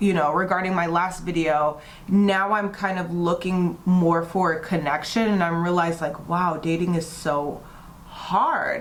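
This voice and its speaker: Heard through audible room echo and noticeable background noise, a woman with an American accent talks at a fairly low pitch. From US East Coast (DC/Maryland/Virginia area). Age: 30s. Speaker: beauty vlogger and model. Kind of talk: casual chat during makeup tutorial.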